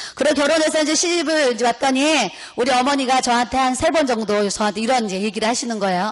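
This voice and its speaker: Amid noticeable background noise, a woman with a high pitch speaks at a very fast pace in an animated tone, with ordinary pitch variation. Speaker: pastor's wife. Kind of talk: sermon. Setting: seminar audience.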